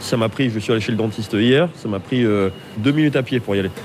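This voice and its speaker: Noticeable background noise runs under the voice. Its pitch varies in an ordinary way. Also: man. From Lyon, France. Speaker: chef. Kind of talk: interview. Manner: halting.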